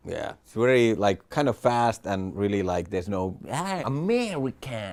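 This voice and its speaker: With a Finnish accent, a man speaks at a medium pitch and with lively intonation. His loudness swings widely. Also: moderate pace. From Finland. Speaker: stand-up comedian. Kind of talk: interview.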